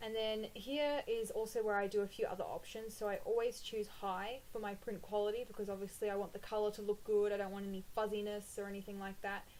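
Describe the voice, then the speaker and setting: A woman with an Australian accent races along at a very fast pace with hardly any pauses and a monotone, flat intonation. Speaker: planner printables shop owner and blogger. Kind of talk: tutorial. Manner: casual, with frequent 'um' fillers.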